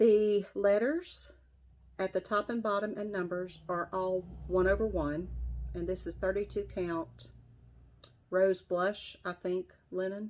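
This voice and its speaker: Speaking with an American accent, a woman uses a medium pitch and fairly even intonation at a very slow pace. Long, frequent pauses break up her speech against a quiet background. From West Virginia. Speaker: cross-stitch vlogger. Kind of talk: casual show-and-tell vlog.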